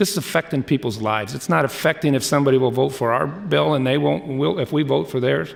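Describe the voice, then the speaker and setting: A loud man at a medium pitch with very wide pitch swings, a fairly quick pace and hardly any pauses, over noticeable background noise. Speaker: state legislator. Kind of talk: floor debate speech. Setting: legislative chamber. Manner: impassioned.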